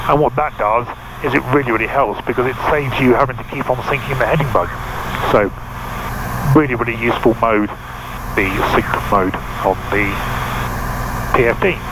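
Over loud background noise, a man talks at a fairly quick pace with ordinary pitch variation, the sound dry with no echo. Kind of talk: tutorial. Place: plane. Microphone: headset.

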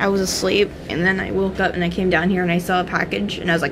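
A woman speaks fast at a fairly low pitch, with little pitch movement. Background noise is clearly audible.

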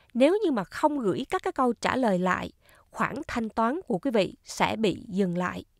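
A woman's fairly high voice with very wide pitch swings and a fairly slow pace, dry and close with no echo, on a very clean recording with a silent background. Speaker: YouTuber explaining retirement benefits. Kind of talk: informational talk and Q&A. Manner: formal.

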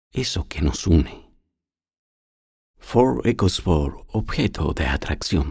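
A man with a very deep, low pitch, a dark, mellow tone and vocal fry, speaking at a very slow pace with lively intonation. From Chile. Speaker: voice actor. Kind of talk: TV commercial read.

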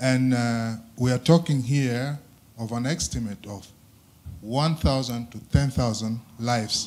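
The speaker is a man. His pitch variation is ordinary. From South Sudan. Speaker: audience member. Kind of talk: audience question. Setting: stage with audience. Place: hall.

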